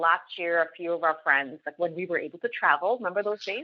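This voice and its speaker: In an ordinary speaking voice, a woman with a Canadian accent talks at a fairly quick pace, her fairly low pitch showing ordinary variation. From Canada, Toronto area. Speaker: business leader and podcaster. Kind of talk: podcast interview.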